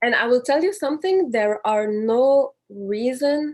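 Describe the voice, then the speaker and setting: In a very clean recording with a silent background, a woman speaks at a fairly slow pace with a Quebec accent. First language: French. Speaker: panelist. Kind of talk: panel discussion.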